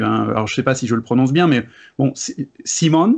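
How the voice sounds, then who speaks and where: Ordinary pitch variation from a man, quiet background behind. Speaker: board game video creator. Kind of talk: casual debate. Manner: energetic. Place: home room.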